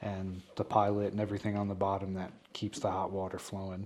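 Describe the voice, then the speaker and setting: In an American accent, a man speaks at a moderate pace with a fairly low pitch and a monotone, flat delivery. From New York. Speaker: plumber. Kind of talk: podcast interview. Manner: hesitant fillers.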